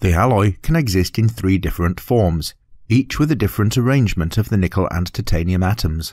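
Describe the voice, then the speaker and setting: With lively intonation and very even loudness, a man talks at a fairly quick pace in a fairly low voice, recorded very cleanly against a silent background. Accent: British. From British. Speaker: voice artist. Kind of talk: educational narration.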